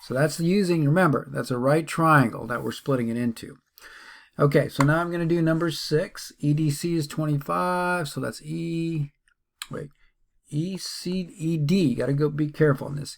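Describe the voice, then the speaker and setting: A plain, everyday voice from a man, moderate in pace with ordinary pitch variation, on a very clean recording with a silent background. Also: fairly high pitch for a man. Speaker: math teacher. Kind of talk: tutorial.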